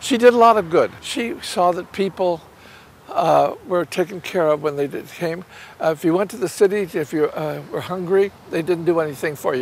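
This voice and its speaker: A man with a high pitch speaks over noticeable background noise. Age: 80s+. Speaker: puppeteer. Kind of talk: casual chat. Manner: halting.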